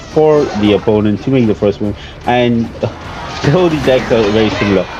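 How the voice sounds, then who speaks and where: A man's voice with music playing in the background. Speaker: gaming YouTuber. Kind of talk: gameplay commentary. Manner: many fillers.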